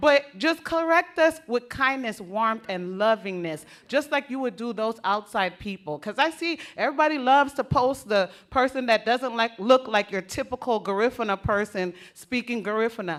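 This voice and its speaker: A woman with an American accent talks at a moderate pace with hardly any pauses, her pitch fairly high. Her tone is animated and her intonation lively. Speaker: conference speaker, Garifuna parent. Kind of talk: conference speech.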